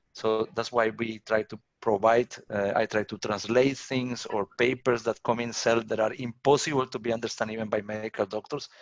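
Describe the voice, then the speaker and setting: In a dry, close sound with no echo, a man with a Colombian accent speaks at a medium pitch and moderate pace, his intonation monotone and flat with hardly any pauses. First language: Spanish. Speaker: professor. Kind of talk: lecture Q&A. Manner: repetitive, restarts words.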